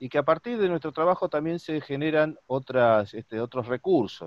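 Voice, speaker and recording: A man with a fairly high pitch swings very widely in pitch, heard dry with no echo. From Argentina. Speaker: interviewer. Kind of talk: interview. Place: home room. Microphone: video call.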